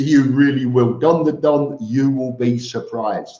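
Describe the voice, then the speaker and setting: In a Cockney accent, a man speaks at a fairly high pitch with audible room echo. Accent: Cockney London English. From East London, England. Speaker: expat vlogger, live stream host. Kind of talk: live stream chat reading viewer comments. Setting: live stream. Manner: halting with frequent repetitions.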